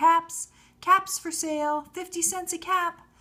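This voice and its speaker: A woman's put-on character voice, squeaky and extremely high in pitch, raised and projected, with monotone, flat intonation at a fairly slow pace. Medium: read story. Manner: calling out.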